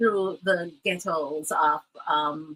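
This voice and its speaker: Lively intonation carries a bright, sharp tone. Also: woman. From Jamaica, Kingston. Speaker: radio broadcaster. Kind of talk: interview testimony.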